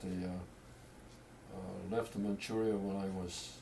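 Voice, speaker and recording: A man speaks in a fairly low, flat monotone. The room echo is audible. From Korea. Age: 80s+. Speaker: family elder. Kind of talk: storytelling. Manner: halting.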